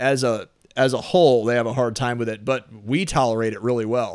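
A man has a normal speaking voice at medium pitch and a fairly quick pace. The recording is very clean, with a silent background. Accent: American. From St. Louis area, Missouri (Oakville, South County). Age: 30s. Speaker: personal trainer and gym owner. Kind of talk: casual interview.

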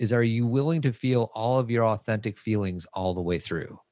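A man's unremarkable speaking voice at medium pitch, with ordinary pitch variation, a moderate pace and a dry, close sound with no echo. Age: 40s. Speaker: men's coach and parenting podcast host. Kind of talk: casual chat.

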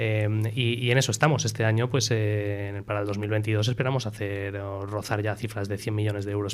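The man's voice sits at a fairly low pitch. He delivers everything in a monotone, flat intonation. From Spain and Miami, USA. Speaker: startup CEO. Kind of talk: casual interview.

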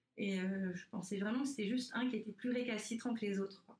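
A woman speaks with a fairly high pitch and ordinary pitch variation. Her voice is somewhat breathy. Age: 30s. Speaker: breast cancer survivor, prevention advocate. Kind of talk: interview about personal story. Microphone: poor sound quality.

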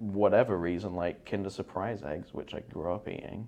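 A man with a southern English accent, fairly low in pitch with ordinary variation, at a moderate pace. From southeast England, near London. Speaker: physical therapy assistant. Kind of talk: casual interview.

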